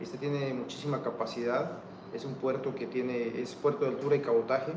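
Amid noticeable background noise and audible room echo, a man speaks with monotone, flat intonation. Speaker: port administrator. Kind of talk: interview. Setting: outdoors. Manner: halting.

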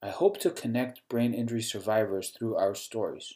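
A man speaks with a medium pitch and a dark, mellow tone. His pace is moderate. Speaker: podcast host, neuroscientist. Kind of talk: scripted narration.

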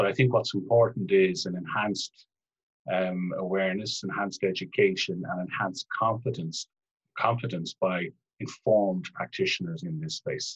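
With an Irish accent, a man speaks at a moderate pace in a dry, close sound with no echo. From Ireland. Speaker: family therapist. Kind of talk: interview. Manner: formal.

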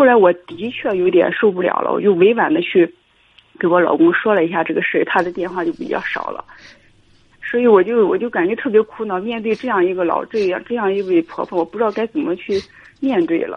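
This woman's pitch sits in the middle of her range and rises and falls in a lively way, in an ordinary speaking voice. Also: fairly quick pace. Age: 30s. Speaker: caller to advice radio show. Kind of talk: call-in advice conversation.

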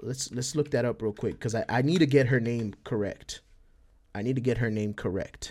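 With an American accent, a normal speaking voice moves at a moderate pace with ordinary pitch variation. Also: man, medium pitch for a man. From El Paso, Texas. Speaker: Twitch streamer and podcast host. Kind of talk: casual solo monologue. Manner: casual, filler-heavy.

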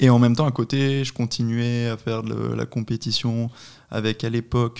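On a very clean recording with a silent background, a man speaks in a medium pitch. His delivery is monotone and flat at a moderate pace. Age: 20s. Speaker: paragliding instructor and competition athlete. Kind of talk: casual interview.

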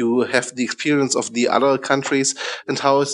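A man with a German accent talks in a monotone, flat intonation. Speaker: podcast host. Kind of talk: interview.

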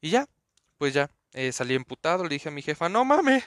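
Over a quiet background, a man with a Mexico City accent speaks at a moderate pace in a raised, projected voice, bright and sharp in tone and animated, with very wide pitch swings and a dry, close sound with no echo. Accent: Mexico City Spanish (chilango). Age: 20s. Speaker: podcaster. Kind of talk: casual monologue.

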